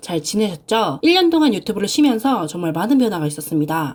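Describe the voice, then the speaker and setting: Her pitch is fairly high. This woman's voice makes very wide pitch swings. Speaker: frugal-living vlogger with side jobs. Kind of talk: vlog voice-over narration.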